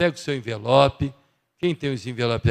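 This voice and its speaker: A man with a normal speaking voice talks at medium pitch with ordinary pitch variation, in a very clean recording with a silent background and a dry, close sound with no echo. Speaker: church member giving announcements. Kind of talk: church announcements. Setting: church service. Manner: casual, conversational.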